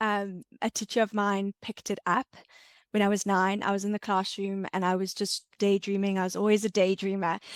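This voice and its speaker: Woman with a South African accent and monotone, flat intonation, in a dry, close sound with no echo on a very clean recording with a silent background. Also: medium pitch for a woman, moderate pace. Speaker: entrepreneur and ADHD content creator. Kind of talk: podcast interview.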